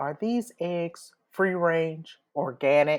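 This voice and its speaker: A woman puts on a gruff character voice, fairly low in pitch, and delivers it at a very slow pace. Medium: read story. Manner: gruff, stern.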